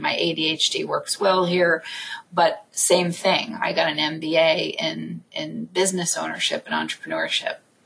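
A woman at a fairly slow pace amid noticeable background noise. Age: 40s. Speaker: podcast host and network founder. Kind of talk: casual interview. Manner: animated.

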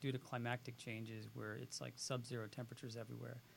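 At a fairly quick pace, a man speaks at a medium pitch with vocal fry. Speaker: doctor turned filmmaker. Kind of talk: interview. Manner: soft-spoken.

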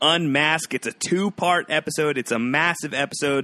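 A man's fairly high-pitched voice with a bright, sharp, energetic tone, ordinary pitch variation and a fairly quick pace, in a dry, close sound with no echo. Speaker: podcast host. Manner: energetic, chatty.

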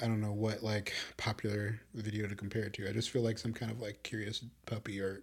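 Here a man with an American accent speaks at a very fast pace in a monotone, flat intonation. His voice is fairly low and somewhat breathy. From Chicago. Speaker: podcast co-host. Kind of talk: casual chat. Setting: video podcast recording.

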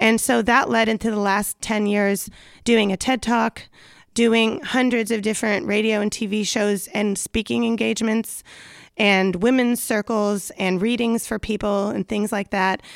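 A woman with a slight Southern California accent, fairly high pitch, fairly even intonation, moderate pace, very clean recording with a silent background. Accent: slight Valley Girl. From US, San Fernando Valley, California. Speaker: podcast host and life coach. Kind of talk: casual chat.

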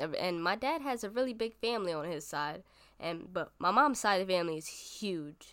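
A woman with a plain, everyday voice and an American accent, medium in pitch with lively intonation, on a very clean recording with a silent background. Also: fairly quick pace. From Bronx, New York. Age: 20s. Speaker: podcast host. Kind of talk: casual personal monologue.

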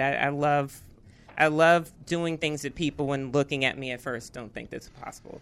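A woman with a very deep, low pitch speaks at a moderate pace with fairly even intonation. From Arlington, Virginia. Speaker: tech company CEO. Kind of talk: interview. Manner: hesitant, many fillers.

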